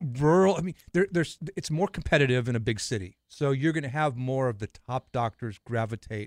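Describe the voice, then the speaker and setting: In an ordinary speaking voice of medium pitch, a man talks at a fairly quick pace with lively intonation and hardly any pauses, the sound dry and close with no echo. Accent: American. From Los Angeles, California. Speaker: spine surgeon, co-host. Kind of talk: casual chat.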